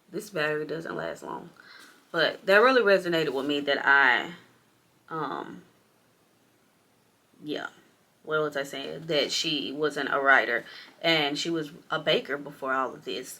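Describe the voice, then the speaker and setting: A woman's very deep, low voice with vocal fry, ordinary pitch variation, and long, frequent pauses. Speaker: book vlogger. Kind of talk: casual vlog. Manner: fast; animated.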